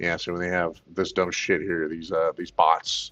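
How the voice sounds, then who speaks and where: Music plays in the background as a man speaks. The sound is dry and close, without echo. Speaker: gaming streamer and tournament organizer. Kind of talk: casual livestream chat.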